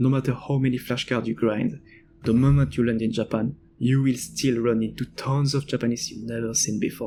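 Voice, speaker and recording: With a strong French accent, a man speaks at a fairly quick pace and medium pitch, keeping his intonation fairly even. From France. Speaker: language-learning video creator. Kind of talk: personal essay narration.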